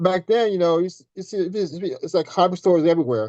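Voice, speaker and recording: A normal speaking voice from a man at a moderate pace, with ordinary pitch variation, a quiet background and a dry, close sound with no echo. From US South, Tennessee. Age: 60s. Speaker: scale model car builder. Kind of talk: casual interview chat.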